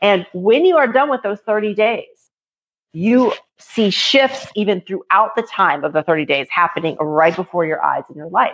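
A woman's medium-pitched voice, a normal speaking voice, with lively intonation at a moderate pace. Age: 40s. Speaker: author and entrepreneur. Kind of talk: interview.

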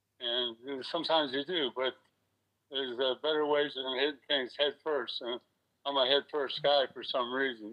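An ordinary speaking voice with an American accent, a moderate pace and fairly even intonation. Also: man. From US South, Florida (West Palm Beach). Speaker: retired stuntman and actor. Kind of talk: interview. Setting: phone call.

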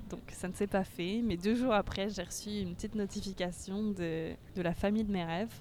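A woman's medium-pitched voice at a moderate pace. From France. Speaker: former au pair. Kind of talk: casual chat. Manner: animated.

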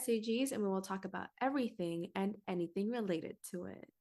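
This woman has an ordinary speaking voice at a medium pitch. Her pitch varies in an ordinary way, and her pace is moderate. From Philippines, moved to US around age 9-10. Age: 20s. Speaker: podcast host, singer and dancer. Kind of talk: casual chat.

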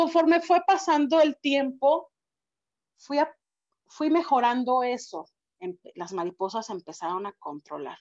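Speaking at a fairly slow pace, a woman with a high pitch takes long, frequent pauses. Her pitch swings very widely and her loudness shifts a lot. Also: dry, close sound with no echo. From Mexico. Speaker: public speaking club member. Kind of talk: interview.

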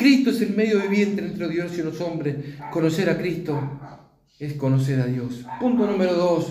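Over noticeable background noise and audible room echo, a man talks in a Rioplatense accent. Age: 50s. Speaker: preacher. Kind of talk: sermon.

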